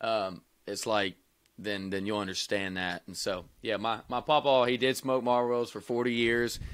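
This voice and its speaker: A man with a Kentucky accent speaks at a medium pitch and a moderate pace, with fairly even intonation. The recording is very clean, with a silent background. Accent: Kentucky Southern. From Kentucky (Wilmore, near Lexington). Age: 20s. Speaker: country singer-songwriter. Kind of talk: casual interview.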